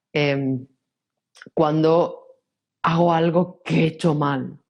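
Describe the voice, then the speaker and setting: A woman speaks in a Castilian accent with an animated tone. Her pitch is fairly low, with ordinary variation. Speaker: personal growth coach. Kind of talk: interview. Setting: podcast recording.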